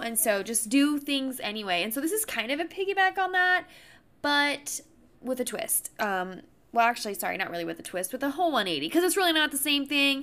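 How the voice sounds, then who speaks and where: This raised, projected voice has a bright, sharp tone and an animated delivery, with very wide pitch swings at a fairly quick pace. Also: woman, high pitch for a woman. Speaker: podcast host. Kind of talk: casual chat.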